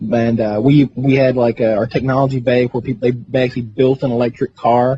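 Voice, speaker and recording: In a Southern US accent, the speaker has a dark, mellow tone, a somewhat breathy quality and monotone, flat intonation at a fairly quick pace, with a dry, close sound and no echo. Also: man, medium pitch for a man. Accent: Southern US (Georgia). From US South, Franklin County, Georgia. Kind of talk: casual chat.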